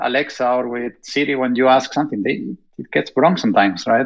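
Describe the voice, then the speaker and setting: A man with a strong Spanish accent speaks at a medium pitch with fairly even intonation. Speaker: robotics industry panelist. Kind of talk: panel discussion.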